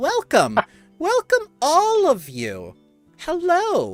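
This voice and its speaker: Over faint music in the background, a put-on character voice speaks at an extremely high pitch and a very slow pace. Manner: sweet, warm, welcoming.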